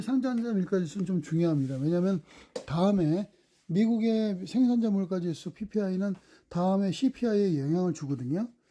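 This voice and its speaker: A man's high-pitched voice, dark and mellow in tone, with lively intonation and a fairly quick pace, on a very clean recording with a silent background. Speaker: stock market commentator. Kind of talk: market commentary monologue. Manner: fast.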